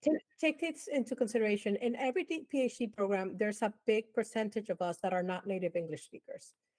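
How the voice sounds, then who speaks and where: Very fast and lively in intonation, a woman speaks at a fairly high pitch with a slight Dominican accent. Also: dry, close sound with no echo. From Dominican Republic. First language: Spanish. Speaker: advertising professor. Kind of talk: interview.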